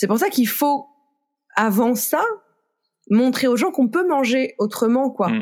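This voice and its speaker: This woman's fairly high voice carries lively intonation. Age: 30s. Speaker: author of a book on food and sexism. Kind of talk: podcast interview. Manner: casual, with frequent filler hesitations.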